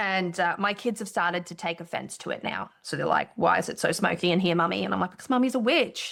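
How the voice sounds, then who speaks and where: Talking very fast with hardly any pauses, a woman uses a medium pitch with ordinary pitch variation and vocal fry. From outside Australia. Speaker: podcast co-host. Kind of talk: casual chat. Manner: animated.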